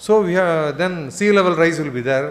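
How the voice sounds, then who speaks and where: A man speaks with a high pitch. Audible room echo surrounds his voice. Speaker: conference speaker on climate science. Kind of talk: lecture. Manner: fast.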